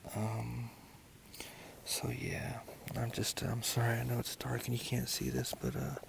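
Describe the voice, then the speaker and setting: A man whispers at a fairly slow pace with long, frequent pauses and very even loudness. Noticeable background noise can be heard. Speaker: hiking vlogger. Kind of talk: casual trail vlog narration. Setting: outdoors at a lakeside campsite. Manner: hushed, quiet; hesitant, many fillers.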